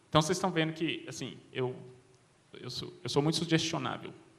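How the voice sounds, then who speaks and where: A man talks at a very fast pace. His pitch varies an ordinary amount. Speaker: cognitive scientist at a tech company. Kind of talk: panel talk. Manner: hesitant, repeats words.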